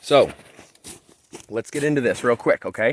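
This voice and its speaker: A man's energetic, bright and sharp voice, fairly high in pitch, at a moderate pace, with a dry, close sound and no echo. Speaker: chainsaw tutorial youtuber. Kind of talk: tutorial. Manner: casual, energetic.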